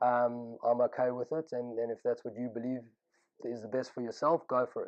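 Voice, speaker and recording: A man's medium-pitched voice with a South African accent, fairly quick and with fairly even intonation. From South Africa (Pretoria, Johannesburg). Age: 30s. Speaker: yeshiva student telling his life story. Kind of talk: personal testimony. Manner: casual, with frequent fillers.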